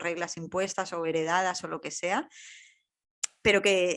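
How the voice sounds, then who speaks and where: This woman has an unremarkable speaking voice at medium pitch. She moves at a moderate pace. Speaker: podcast host. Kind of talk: podcast interview.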